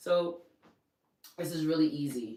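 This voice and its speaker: This woman has a New York accent. Her tone is dark and mellow. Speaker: fitness and weight-loss coach. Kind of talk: casual instructional talk.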